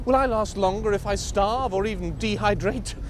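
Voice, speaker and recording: A man is talking. Noticeable background noise accompanies him. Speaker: voice actor. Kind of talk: poetry reading.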